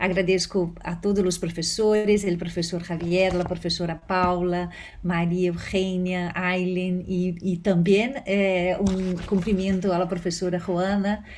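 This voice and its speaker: A woman's very slow, monotone, flat delivery with hardly any pauses and audible room echo. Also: medium pitch for a woman. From Brazil. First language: Portuguese (speaking Spanish). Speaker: law professor. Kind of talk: conference talk. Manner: hesitant, many fillers.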